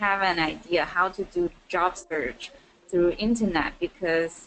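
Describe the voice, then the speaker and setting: A woman with a Chinese accent talks at a very slow pace over noticeable background noise. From China, Nanjing. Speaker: student. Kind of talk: casual chat. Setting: webinar call.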